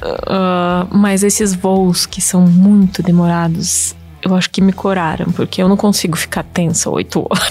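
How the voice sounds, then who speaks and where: A woman of medium pitch speaks with a Russian accent at a fairly slow pace, hardly any pauses and a monotone, flat intonation, with noticeable background noise. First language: Russian (speaking Portuguese). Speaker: YouTuber. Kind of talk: casual interview chat.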